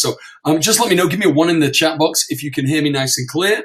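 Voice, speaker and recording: A man with a British accent sounds somewhat breathy. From UK. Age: 40s. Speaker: internet marketer. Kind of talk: webinar presentation. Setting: online webinar. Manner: halting, stammering.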